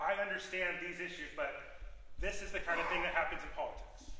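Speaking in a high pitch with ordinary pitch variation, a man is heard with audible room echo and light background noise. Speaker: public candidate. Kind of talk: debate answer. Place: hall. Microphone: camera far.

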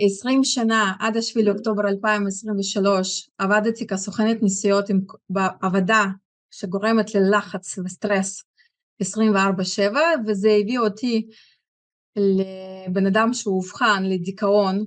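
A woman speaks at a very slow pace. Her intonation is monotone and flat against a quiet background. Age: 40s. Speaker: product user giving testimony. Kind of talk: testimony. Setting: stage with audience. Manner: halting. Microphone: video call.

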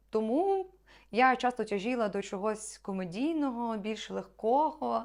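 A woman with a plain, everyday voice speaks at a fairly slow pace and fairly high pitch. Her pitch varies in an ordinary way, and the recording is very clean with a silent background. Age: 20s. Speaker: actress. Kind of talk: self-presentation video.

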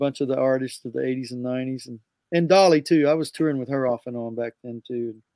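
A man talks at a fairly quick pace. The sound is dry with no echo, and the background is quiet. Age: 60s. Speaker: music producer and guitarist; guest. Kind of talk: interview. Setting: video call. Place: studio.

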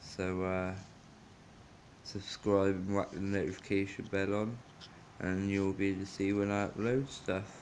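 Over light background noise, the voice stays monotone and flat. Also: man. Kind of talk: casual vlog chat. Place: home room. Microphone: phone near.

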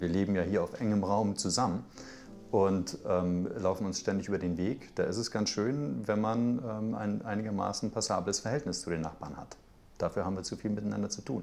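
With music playing in the background, the speech moves at a moderate pace and shows ordinary pitch variation. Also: man, fairly low pitch for a man. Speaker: journalist, TV news presenter. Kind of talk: interview answer, casual anecdote to camera. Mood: amused, smiling anecdote. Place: kitchen.

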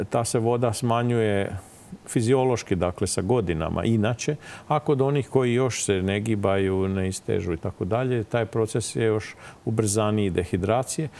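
The voice has a dark, mellow tone, a moderate pace and ordinary pitch variation. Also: man, fairly low pitch for a man. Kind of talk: interview answer. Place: studio. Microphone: lapel.

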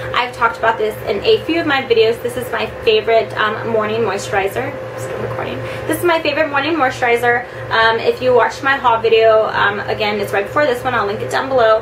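A woman talks at a very fast pace. Music plays in the background. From Southern California. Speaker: beauty vlogger. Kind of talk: casual vlog product review. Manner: fast talker. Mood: chatty and upbeat. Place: home room. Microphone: camera far.

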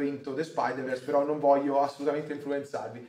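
The man's voice has a fairly high pitch. Audible room echo surrounds it. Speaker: streamer host. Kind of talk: casual chat. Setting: live stream. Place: home room.

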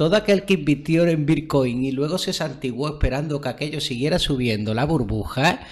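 Somewhat breathy, a man talks at a fairly quick pace with ordinary pitch variation. He hardly pauses at all. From Andalusia, Spain. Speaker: development researcher. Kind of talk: casual interview conversation. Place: home room. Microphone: studio mic.

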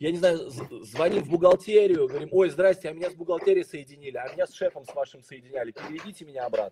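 Against noticeable background noise, a man talks very fast at a high pitch with ordinary pitch variation. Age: 40s. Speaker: sales trainer. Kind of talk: webinar. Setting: online broadcast. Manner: animated. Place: home room. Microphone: video call.

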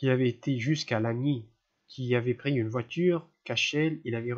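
This is a natural reading voice with ordinary pitch variation and a quiet background.

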